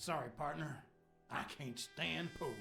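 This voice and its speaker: Against clear music in the background, a man does a put-on character voice in a Texan accent, drawling and raspy at a fairly high pitch and a fairly slow pace. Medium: video game. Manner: drawling, folksy.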